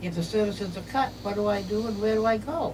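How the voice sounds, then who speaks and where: Noticeable background noise sits under the voice, and the room gives off an audible echo. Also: woman. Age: 70s. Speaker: home care client. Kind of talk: testimony. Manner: halting.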